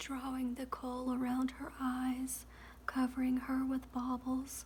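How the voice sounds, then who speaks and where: The voice is soft-spoken with a gentle tone. It moves at a fairly slow pace. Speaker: ASMR reader. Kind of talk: ASMR audiobook reading, sleep story. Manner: soft-spoken, gentle, relaxing.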